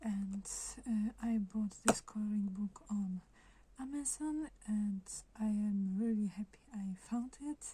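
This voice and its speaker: A soft-spoken woman talks at a very slow pace in a fairly high, somewhat breathy voice with a dark, mellow tone and ordinary pitch variation. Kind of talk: ASMR book flip-through talk.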